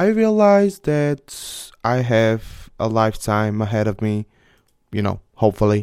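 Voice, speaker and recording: The speaker talks at a fairly slow pace with a Bulgarian accent. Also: very clean recording, silent background. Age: 20s. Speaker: podcast host. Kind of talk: casual monologue. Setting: home office. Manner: animated.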